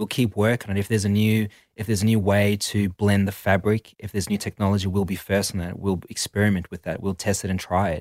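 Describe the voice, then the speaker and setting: Very fast, monotone, flat delivery from a man with a South African accent and fairly low pitch, on a very clean recording with a silent background and a dry, close sound with no echo. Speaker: activewear brand co-owner. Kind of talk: interview.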